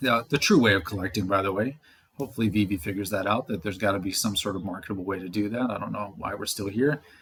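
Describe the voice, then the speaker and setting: Very fast and somewhat breathy, the speech has ordinary pitch variation. The recording is very clean, with a silent background. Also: man. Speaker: crypto and NFT commentator. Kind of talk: casual speculative commentary video.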